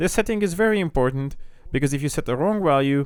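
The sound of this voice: A man speaks at a fairly quick pace with lively intonation. His tone is clear and smooth.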